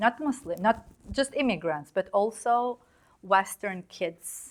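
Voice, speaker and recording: A woman speaks at a very slow pace. Her fairly high voice has lively intonation. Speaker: investigative journalist. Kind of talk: interview conversation.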